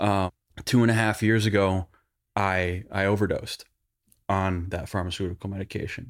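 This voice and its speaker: The recording is very clean, with a silent background. A man with a fairly low pitch speaks at a moderate pace with fairly even intonation. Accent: Western New York. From Buffalo, New York. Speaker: advertising creative director. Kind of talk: coaching session. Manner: casual.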